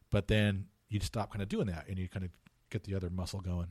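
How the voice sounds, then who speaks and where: A man with a Californian accent, very deep and low in pitch, somewhat breathy, at a fairly quick pace with fairly even intonation, on a very clean recording with a silent background. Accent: Californian American. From Southern California (Orange County). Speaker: theology and English professor. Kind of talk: casual interview. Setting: office. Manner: halting, with frequent repetitions.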